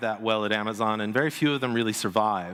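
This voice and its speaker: Speaking at a very fast pace, a man talks with an American accent. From United States. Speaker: business leader and consultant. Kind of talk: conference keynote speech.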